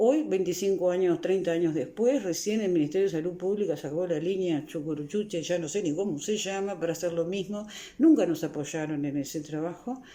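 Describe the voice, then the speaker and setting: The tone is dark and mellow, the pace fairly quick, and the pitch varies in an ordinary way. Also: woman, fairly low pitch for a woman. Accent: Uruguayan. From Uruguay, Montevideo (La Teja). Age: 60s. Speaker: psychologist and author. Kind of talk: interview.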